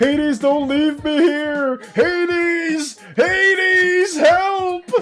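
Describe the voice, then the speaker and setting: Faint music plays in the background as a high-pitched, put-on character voice speaks at a very slow pace. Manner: panicked, pleading.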